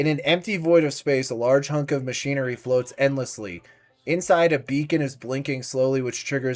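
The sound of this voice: Reading done in an unforced voice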